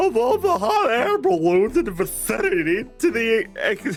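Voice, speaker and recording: In a put-on character voice, a man speaks at an extremely high pitch with very wide pitch swings over clear background noise. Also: moderate pace. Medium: game stream.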